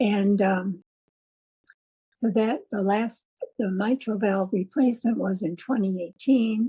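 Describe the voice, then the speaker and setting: Somewhat breathy and fairly slow, a woman at medium pitch speaks with ordinary pitch variation and long, frequent pauses. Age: 80s+. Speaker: heart patient and patient advocate. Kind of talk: interview answer.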